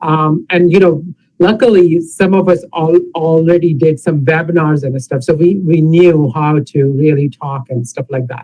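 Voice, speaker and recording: A man speaks in a normal speaking voice at a fairly high pitch. His pace is moderate, with hardly any pauses and ordinary pitch variation. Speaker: pathologist panelist. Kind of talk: panel discussion.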